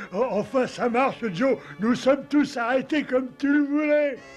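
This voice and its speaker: Someone performs a put-on character voice. The pace is moderate, and clear background noise is present. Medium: fan dub. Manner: slow, simple-minded.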